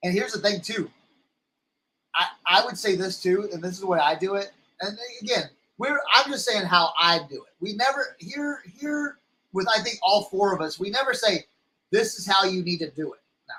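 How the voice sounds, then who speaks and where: An American accent in a raised, projected voice, bright and sharp in tone, with big swings in loudness, ordinary pitch variation, moderate pace and long, frequent pauses. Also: man, high pitch for a man. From Texas. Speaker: reseller livestream host. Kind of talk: casual livestream chat. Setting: live stream. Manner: halting, many repetitions.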